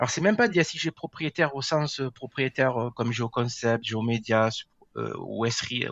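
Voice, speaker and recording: A man's voice holds a medium pitch with ordinary variation, delivered at a moderate speed. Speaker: GIS software engineer. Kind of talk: podcast interview. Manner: hesitant, many filler words.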